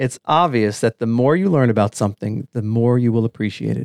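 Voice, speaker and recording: An ordinary speaking voice from a man with an American accent, medium in pitch with ordinary pitch variation, dry and close with no echo in a very clean recording with a silent background. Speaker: podcast co-host. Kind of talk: podcast interview.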